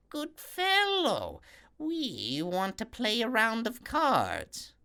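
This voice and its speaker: Shrill and fairly high, a put-on character voice drawls along at a very slow pace. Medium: read story.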